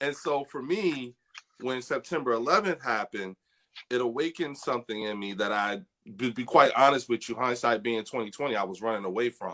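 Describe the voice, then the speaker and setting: Dry and close with no echo, a man's voice in an American accent comes through bright and sharp in tone, medium in pitch, fairly quick, with ordinary pitch variation. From Trenton, New Jersey. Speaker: army veteran and cannabis advocate. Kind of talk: interview.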